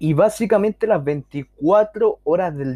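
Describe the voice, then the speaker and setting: A man with a dark, mellow tone and lively intonation. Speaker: podcast host and social skills coach. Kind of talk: casual monologue.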